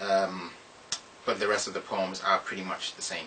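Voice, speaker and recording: Through noticeable background noise comes a man's very deep, low-pitched voice. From Ghana. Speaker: poet. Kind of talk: casual introduction to audience.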